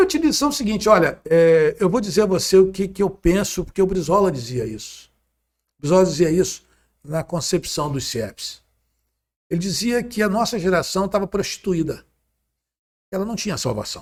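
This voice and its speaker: Speaking at a moderate pace with long, frequent pauses, a man uses lively intonation in a high voice. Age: 60s. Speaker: former politician. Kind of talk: interview.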